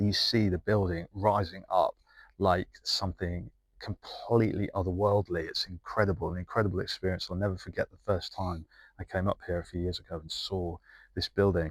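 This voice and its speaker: The man's voice is somewhat breathy and very deep, moving at a fairly quick pace. The recording is very clean and silent, with a dry, close sound and no echo. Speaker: travel and architecture video maker. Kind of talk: casual vlog-style talk to camera.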